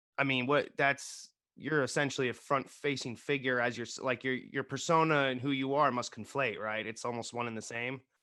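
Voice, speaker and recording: Against a quiet background, a man with a Bay Area accent speaks at a fairly quick pace in a medium pitch. His tone is bright and sharp, and his intonation fairly even. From US West Coast, Bay Area. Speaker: actor and podcast co-host. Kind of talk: casual interview chat. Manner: slurred words.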